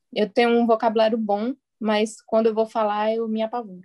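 Monotone, flat intonation pairs with a dark, mellow tone in this voice. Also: woman. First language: Portuguese (speaking Spanish). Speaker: Spanish learner. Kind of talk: casual chat.

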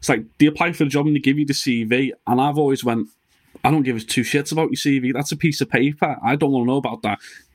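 A man with a Liverpool accent talks at a very fast pace with a fairly high pitch. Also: fairly even intonation. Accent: Scouse. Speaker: podcast host. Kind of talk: casual interview chat with sponsor reads.

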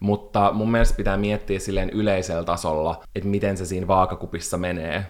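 Barely pausing, a man speaks in a very deep, low pitch with monotone, flat intonation. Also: fairly quick pace. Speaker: podcast co-host. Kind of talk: casual chat.

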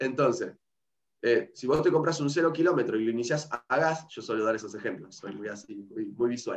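Fairly high male voice, fairly quick, with lively intonation. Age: 30s. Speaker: nutrition educator. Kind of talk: interview. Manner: halting, repeats words.

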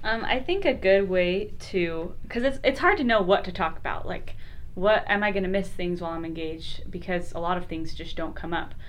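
A woman with an American accent at medium pitch, fairly quick, with ordinary pitch variation and audible room echo. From Utah, Lehi. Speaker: special education teacher. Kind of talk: casual chat.

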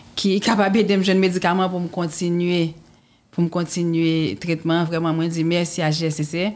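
A woman speaks at a moderate pace in a fairly low pitch. Her intonation stays monotone and flat. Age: 40s. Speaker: cancer survivor. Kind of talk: testimony. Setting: studio.

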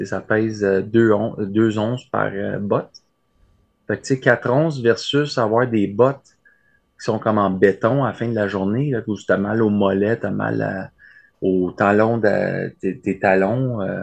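In a Quebec accent, a man speaks at a very slow pace with fairly even intonation. The background is quiet. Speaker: letter carrier. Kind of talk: casual interview.

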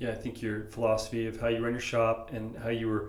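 Speaking at a fairly quick pace with monotone, flat intonation, a man with an American accent and a medium pitch is heard in audible room echo. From San Diego, California. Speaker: podcast host. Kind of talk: casual interview. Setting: shaping room with echo. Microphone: a bit of echo.

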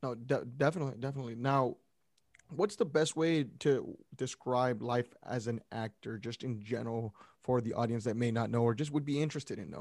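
This is an ordinary speaking voice with ordinary pitch variation. It moves at a fairly quick pace. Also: man, medium pitch for a man. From Brownsville, Texas. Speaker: sports podcast host. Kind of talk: casual chat.

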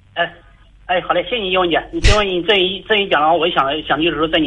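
A man talks at a very fast pace in a high pitch. Noticeable background noise is present. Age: 30s. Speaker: caller seeking relationship advice. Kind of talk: call-in advice conversation. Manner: halting. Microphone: voice sounds hollow, like speakerphone.

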